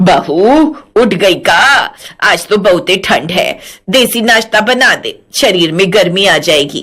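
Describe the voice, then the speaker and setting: A woman puts on a rumbling character voice at a medium pitch, speaking at a fairly slow pace with lively intonation. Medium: audio drama. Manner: bossy, grumbling.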